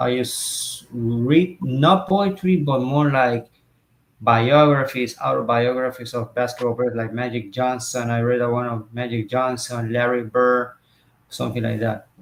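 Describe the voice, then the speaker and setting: A man with a Spanish accent at a fairly slow pace, with ordinary pitch variation. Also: medium pitch for a man. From Puerto Rico. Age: 30s. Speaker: interviewer and poet. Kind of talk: interview. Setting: video call livestream. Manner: halting.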